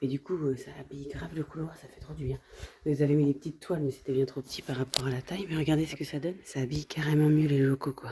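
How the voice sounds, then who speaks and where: Quiet and at a very fast pace, a woman with a very deep, low pitch keeps her intonation fairly even while her loudness swings a lot. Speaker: family travel vlogger. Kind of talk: casual vlog narration. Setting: indoors at a work premises. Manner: speaking quietly.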